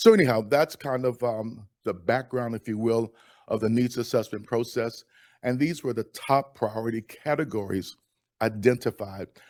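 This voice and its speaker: The intonation stays fairly even, and the sound is dry and close with no echo on a very clean recording with a silent background. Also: man, medium pitch for a man. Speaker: county program staff presenter. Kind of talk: presentation. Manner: fast; informal.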